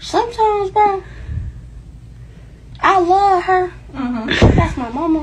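Over noticeable background noise, a woman speaks very slowly at an extremely high pitch. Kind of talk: casual selfie video chat. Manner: sleepy, slurred medicated speech. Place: home room. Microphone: phone near.

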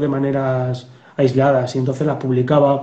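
Speech comes at a moderate pace, and room echo is audible around it. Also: man. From Spain. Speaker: police officer and novelist. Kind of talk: interview. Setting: video call. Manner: halting. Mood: relaxed, reflective. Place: home room. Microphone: video call.

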